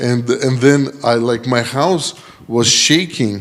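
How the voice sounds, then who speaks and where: A man with a medium-pitched voice and fairly even intonation speaks over noticeable background noise. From Ukraine. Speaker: missionary pastor. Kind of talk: testimony. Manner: halting.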